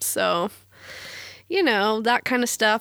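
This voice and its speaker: A woman with a fairly high pitch speaks at a moderate pace in a normal speaking voice, recorded dry and close with no echo. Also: very clean recording, silent background. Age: 20s. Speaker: podcast co-host, student. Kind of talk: casual chat.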